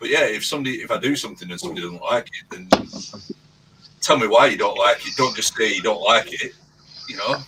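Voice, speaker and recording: A man's very fast speech with big swings in loudness, long, frequent pauses and noticeable background noise. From northern England, near Bolton, Scottish family. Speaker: youtuber. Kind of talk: casual chat.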